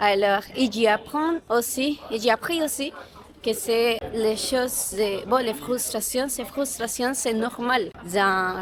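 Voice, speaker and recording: A woman with a Latin American Spanish accent speaks very slowly at a fairly high pitch, with ordinary pitch variation. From Colombia. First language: Spanish (speaking French). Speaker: vlogger. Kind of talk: casual vlog talk to camera. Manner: halting, many fillers and restarts.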